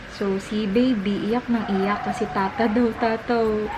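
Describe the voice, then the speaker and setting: There is noticeable background noise as a woman talks at a medium pitch with fairly even intonation. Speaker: lifestyle vlogger and mother. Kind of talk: casual vlog. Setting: at home, night. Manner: hushed, lowered voice.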